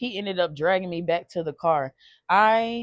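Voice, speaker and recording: A woman's shaky voice sits at a fairly low pitch. It sounds dry and close with no echo, and the background is quiet. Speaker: storytime vlogger. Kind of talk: personal testimony. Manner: halting, repeats words.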